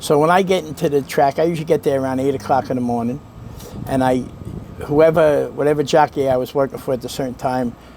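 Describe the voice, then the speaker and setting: Over noticeable background noise, a man with a Brooklyn accent talks at a very fast pace. His pitch is fairly high and his intonation fairly even. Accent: Brooklyn New York. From New York. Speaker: racetrack valet. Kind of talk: interview answer.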